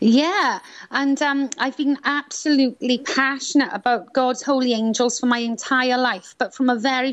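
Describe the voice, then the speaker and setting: Fairly even intonation in a Welsh accent. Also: woman. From Wales (Swansea, South Wales). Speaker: author and angel healing teacher. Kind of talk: interview.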